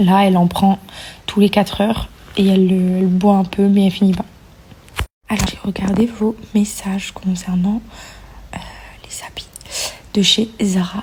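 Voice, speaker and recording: A soft-spoken woman whispers at a fairly slow pace with long, frequent pauses against noticeable background noise. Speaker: vlogger, mother of a baby. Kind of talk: casual vlog to viewers. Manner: whispered, soft; hesitant with many fillers.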